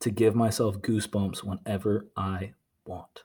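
Someone with an American accent talks at a fairly slow pace in an unremarkable speaking voice. The recording is very clean, with a silent background. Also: man. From Virginia (Norfolk). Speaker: podcast host. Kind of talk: casual chat.

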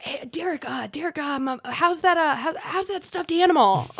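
A raspy, hoarse put-on character voice, high-pitched, at a very slow pace

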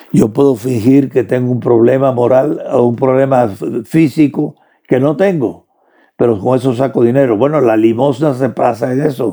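The tone is dark and mellow, with ordinary pitch variation, very even loudness and a moderate pace. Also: man, medium pitch for a man. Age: 90s. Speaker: theologian and philosopher. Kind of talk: interview.

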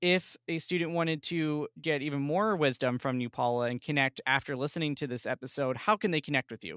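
A man with an ordinary speaking voice talks at a fairly quick pace with hardly any pauses. His pitch is fairly high, with ordinary variation. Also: very clean recording, silent background. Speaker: podcast host and college staff member. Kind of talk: interview; scripted narration.

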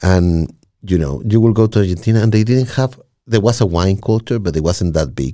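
Using a dark, mellow tone, a man with a fairly low pitch speaks at a fairly quick pace with lively intonation. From Chile. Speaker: podcaster. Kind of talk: casual chat. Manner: repeats words, halting starts.

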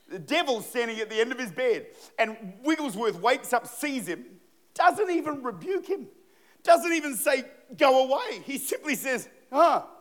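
A man with an Australian accent and an extremely high pitch, lively intonation, moderate pace. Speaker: pastor. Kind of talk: sermon. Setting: church. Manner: animated.

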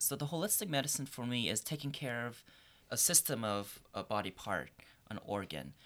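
A man at a medium pitch with vocal fry and very wide pitch swings, moderate in pace, in a very clean recording with a silent background. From Korea, raised in Northern Virginia. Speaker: Chinese medicine student. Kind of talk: casual panel discussion. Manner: halting, with many fillers.

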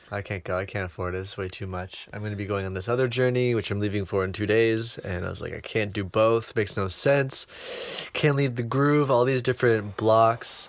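A man with a normal speaking voice talks at a fairly quick pace, using a fairly low pitch and ordinary pitch variation. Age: 20s. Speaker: cacao ceremony facilitator. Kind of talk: casual chat.

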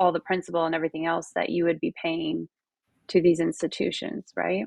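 A woman with a plain, everyday voice speaks at a fairly low pitch with ordinary pitch variation. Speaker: podcast host. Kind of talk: interview.

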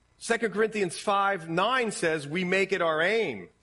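A man's high-pitched voice with a bright, sharp tone, an Ohio accent and lively intonation, over a quiet background. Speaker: pastor. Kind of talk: sermon. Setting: church with congregation. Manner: casual, conversational with fillers.

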